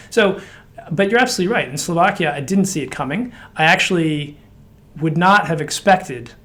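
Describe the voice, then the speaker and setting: Talking at a very fast pace, a man with an American accent uses ordinary pitch variation. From United States. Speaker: director of a women's political leaders network. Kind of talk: interview.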